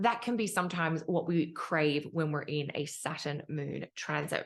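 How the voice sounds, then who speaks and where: A woman with an Australian accent at a moderate pace, against a quiet background. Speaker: astrologer. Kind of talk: tutorial.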